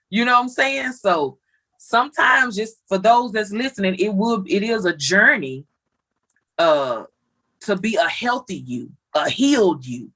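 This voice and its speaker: A woman's medium-pitched voice, bright and sharp in tone, with very wide pitch swings at a fairly slow pace. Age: 30s. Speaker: family member guest. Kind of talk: casual chat.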